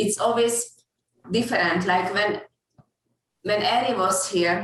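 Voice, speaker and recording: Speaking with a Hungarian accent, a woman uses medium pitch and fairly even intonation at a fairly slow pace. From Hungary. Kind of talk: casual chat.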